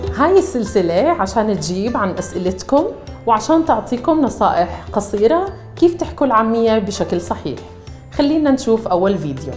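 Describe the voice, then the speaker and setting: A woman's fairly high voice with very wide pitch swings at a moderate pace, faint music in the background. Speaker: Arabic teacher. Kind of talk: language lesson to camera. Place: studio. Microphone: lapel.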